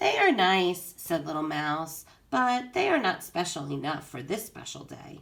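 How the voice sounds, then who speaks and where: A put-on character voice sits at a middle pitch. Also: moderate pace. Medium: read story. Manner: soft, eager.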